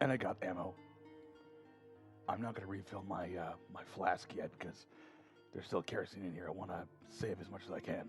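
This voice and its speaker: Over music in the background, a man speaks at a fairly quick pace in a fairly low pitch with fairly even intonation and long, frequent pauses. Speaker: gaming youtuber. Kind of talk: game commentary. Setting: home recording at night. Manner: soft-spoken.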